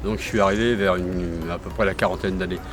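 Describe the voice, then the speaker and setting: With music in the background, a man delivers his words at a fairly quick pace. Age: 70s. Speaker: local heritage enthusiast. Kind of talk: casual interview. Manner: halting.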